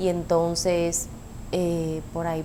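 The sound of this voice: A woman talks at a slow pace, her pitch fairly low.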